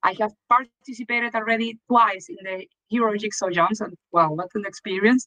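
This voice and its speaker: A woman with a Venezuelan accent, bright, sharp and fairly high-pitched, at a moderate pace with hardly any pauses, ordinary pitch variation, big swings in loudness and a dry, close sound with no echo. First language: Spanish. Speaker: event organizer. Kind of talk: live stream commentary.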